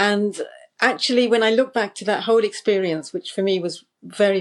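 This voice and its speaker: In a British accent, a woman speaks at a moderate pace with medium pitch and ordinary pitch variation against a quiet background. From United Kingdom. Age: 60s. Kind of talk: interview answer. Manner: hesitant, reflective.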